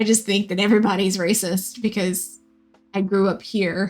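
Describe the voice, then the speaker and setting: Over music in the background, a speaker with an American accent talks at a moderate pace. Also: woman. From US South, Louisiana. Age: 20s. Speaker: live-streaming painter. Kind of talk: casual chat. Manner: halting.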